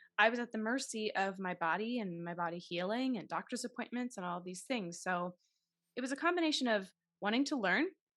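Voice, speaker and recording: A woman with an American accent talks fairly quickly, her pitch fairly high and her intonation lively. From Massachusetts, Taunton south of Boston. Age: 30s. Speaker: actress and podcast host. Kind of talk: interview.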